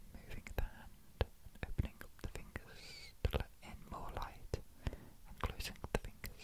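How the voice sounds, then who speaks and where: A man whispering at a moderate pace, with big swings in loudness and noticeable background noise. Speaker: ASMR artist. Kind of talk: ASMR roleplay. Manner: whispered.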